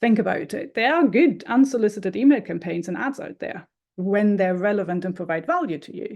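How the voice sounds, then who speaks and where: A woman with a German accent talks at a medium pitch and a fairly quick pace, her tone dark and mellow. Her intonation is lively, and the background is quiet. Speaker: marketing consultant. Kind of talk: talking-head explainer video.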